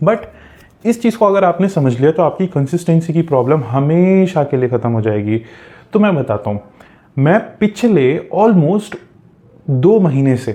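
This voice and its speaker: A man talks at a fairly high pitch with very wide pitch swings. His pauses are long and frequent. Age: 20s. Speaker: self-help coach. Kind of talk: motivational talk.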